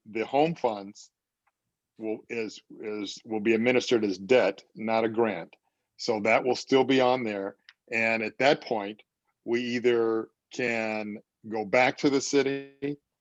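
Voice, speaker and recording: Recorded dry and close with no echo, a man with an ordinary speaking voice talks fairly slowly at a medium pitch with fairly even intonation. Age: 60s. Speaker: housing developer. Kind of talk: community meeting Q&A.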